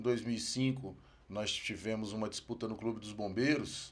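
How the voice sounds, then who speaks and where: With an ordinary speaking voice, a man talks at a moderate pace, using a medium pitch and ordinary pitch variation. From Brazil, Federal District (Brasília). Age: 40s. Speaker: firefighter and former regional administrator. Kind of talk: podcast interview.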